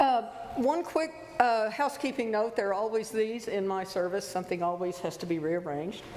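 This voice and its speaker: A woman speaks at a moderate pace in a fairly high voice with very wide pitch swings. Noticeable background noise and audible room echo are present. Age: 70s. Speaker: lay worship leader. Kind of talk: church service welcome and announcements. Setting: church sanctuary.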